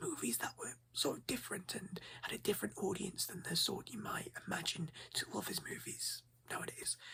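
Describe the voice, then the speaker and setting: A man is whispering. He speaks in a whisper throughout. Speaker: ASMR creator playing a movie shop owner. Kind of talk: ASMR roleplay, casual shop talk. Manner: soft-spoken, friendly, chatty.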